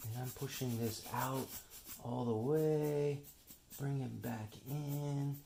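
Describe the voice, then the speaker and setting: Whispering and somewhat breathy, a man speaks at a very slow pace, leaving long, frequent pauses. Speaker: artist. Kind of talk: tutorial. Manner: casual, thinking aloud.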